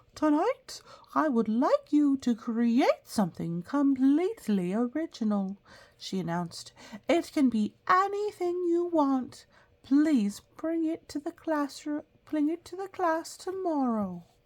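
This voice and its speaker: A woman puts on a character voice, high in pitch with very wide swings, delivered at a fairly slow pace. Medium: read story. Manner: kind, patient.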